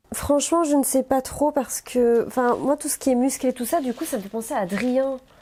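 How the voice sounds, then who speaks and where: Talking at a fairly quick pace with hardly any pauses, a woman uses a high pitch with ordinary variation. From Belgium, near Mons. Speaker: reality TV personality. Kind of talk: casual chat.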